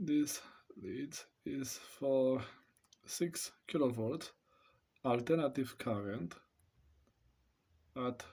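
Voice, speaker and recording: A man with a Romanian accent speaks at a medium pitch and a very slow pace. His pitch varies in an ordinary way, with long, frequent pauses. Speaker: amateur radio hobbyist reviewing test equipment. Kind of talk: product demonstration. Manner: hesitant.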